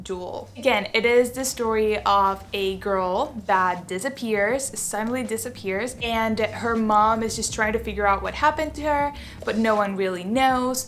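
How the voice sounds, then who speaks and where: Fairly high-pitched and animated, a woman talks at a fairly slow pace with ordinary pitch variation over noticeable background noise. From Venezuela. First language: Spanish. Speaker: book YouTuber. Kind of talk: casual chat. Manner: halting.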